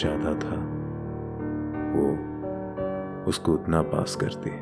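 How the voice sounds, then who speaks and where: Music plays in the background as a man speaks. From Bangladesh. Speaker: voice artist. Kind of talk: dramatic book reading.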